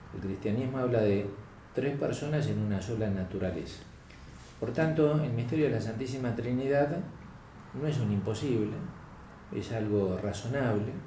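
A man's speech broken by long, frequent pauses, with audible room echo. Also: medium pitch for a man, ordinary pitch variation, moderate pace. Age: 60s. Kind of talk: interview on philosophy.

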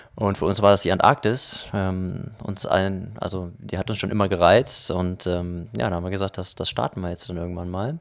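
The man's voice sits at a very deep, low pitch. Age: 20s. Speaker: filmmaker. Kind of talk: casual interview.

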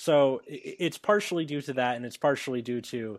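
A man with a normal speaking voice talks at a moderate pace with ordinary pitch variation over a quiet background. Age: 20s. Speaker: podcast host. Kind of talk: casual chat.

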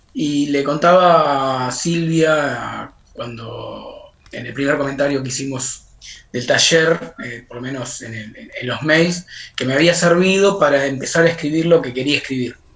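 Speaking at a fairly slow pace, a woman has a very deep, low voice with ordinary pitch variation. There is noticeable background noise. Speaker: writing workshop moderator. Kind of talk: interview.

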